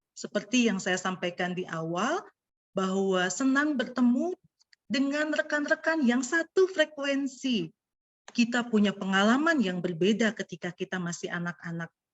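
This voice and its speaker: A woman talks at a moderate pace in a fairly high pitch. Her pitch swings very widely. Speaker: pastor and speaker. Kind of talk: lecture. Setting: video call.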